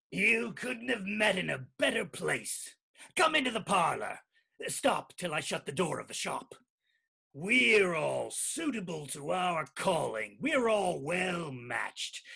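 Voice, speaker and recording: Putting on a character voice, a man speaks fairly slowly at a high pitch with very wide pitch swings. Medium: stage play. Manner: sly, ingratiating.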